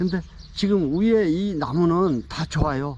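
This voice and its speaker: A man's dark, mellow tone at a very slow pace. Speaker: pine tree gardening expert. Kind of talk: tutorial. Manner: hesitant with fillers.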